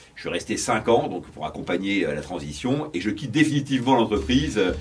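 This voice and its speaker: A man speaks at a medium pitch and a fairly quick pace, with very wide pitch swings. Noticeable background noise can be heard. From France (Brittany). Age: 50s. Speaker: entrepreneur. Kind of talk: interview. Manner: hesitant, many fillers.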